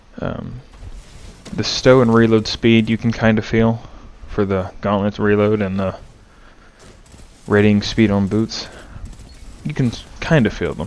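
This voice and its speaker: Quiet and fairly slow, a man speaks at a fairly low pitch with fairly even intonation and long, frequent pauses. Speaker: gaming YouTuber. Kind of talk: casual channel update. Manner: hesitant, with fillers.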